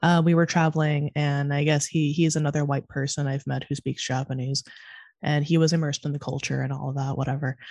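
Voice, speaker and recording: Delivered at a very fast pace in an American accent, the speech has monotone, flat intonation over a quiet background. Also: woman, very deep, low pitch for a woman. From California. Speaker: podcast host. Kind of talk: casual chat. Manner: fast talker.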